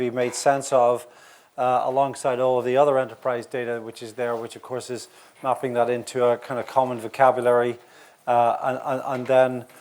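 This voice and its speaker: Speaking with a Northern Irish accent, a man with medium pitch talks at a moderate pace. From Northern Ireland. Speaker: industry analyst. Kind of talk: conference talk. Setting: conference session with audience. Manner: hesitant, many fillers.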